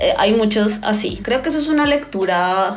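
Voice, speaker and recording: Over noticeable background noise and audible room echo, a woman with a fairly high pitch speaks at a moderate pace. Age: 30s. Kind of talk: personal testimony interview.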